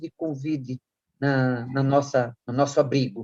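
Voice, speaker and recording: Here a woman talks at a fairly slow pace. The sound is dry and close, with no echo. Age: 70s. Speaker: children's shelter director. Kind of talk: interview.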